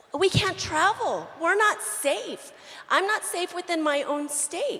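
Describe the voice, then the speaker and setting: A woman with an extremely high voice speaks very slowly, projecting loudly with very wide pitch swings. Noticeable background noise runs underneath. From New Mexico. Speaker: audience member asking a question. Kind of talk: audience Q&A.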